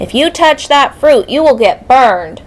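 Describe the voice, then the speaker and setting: Putting on a character voice, a woman speaks at a high pitch. Her pace is moderate. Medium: read story.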